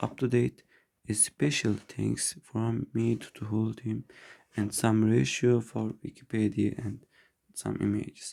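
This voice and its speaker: A man's fairly low-pitched, dark, mellow voice, with a non-native accent, ordinary pitch variation and a fairly slow pace. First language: not English. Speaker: neurology resident. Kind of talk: medical lecture presentation. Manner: halting, with frequent restarts.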